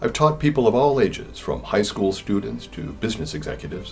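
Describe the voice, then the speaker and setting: With music in the background, a man keeps up a fairly quick pace. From California. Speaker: English teacher. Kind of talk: sales pitch.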